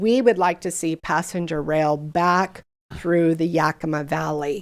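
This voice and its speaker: A woman with an unremarkable speaking voice and a fairly low pitch talks at a fairly slow pace with fairly even intonation, recorded very cleanly against a silent background. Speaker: regional government official presenting to council. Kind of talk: presentation and Q&A at council meeting. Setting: city council meeting.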